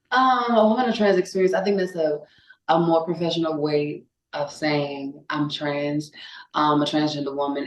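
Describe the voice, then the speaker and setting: With a Louisiana accent, a woman speaks in a very deep, low voice with lively intonation. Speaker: singer. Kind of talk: casual chat.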